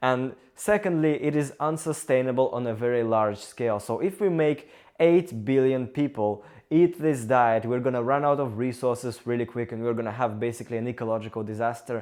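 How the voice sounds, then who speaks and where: Against a quiet background, a man with a Russian accent speaks at a fairly quick pace and medium pitch with ordinary pitch variation. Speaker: engineering student and vlogger. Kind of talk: casual talk to camera.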